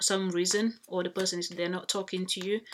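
Flat, monotone intonation marks this woman's speech. She talks at a fairly quick pace. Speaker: spiritual reader. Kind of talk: channelled reading to viewers. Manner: halting.

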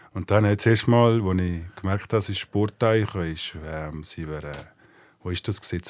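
The recording is very clean, with a silent background. A man speaks at a moderate pace in a very deep, low voice with ordinary pitch variation. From Switzerland, rural village. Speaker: talent agent. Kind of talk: casual interview.

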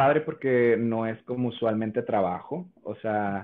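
Ordinary pitch variation marks a plain, everyday voice. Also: man. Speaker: content creator and voice impressionist. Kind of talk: casual interview.

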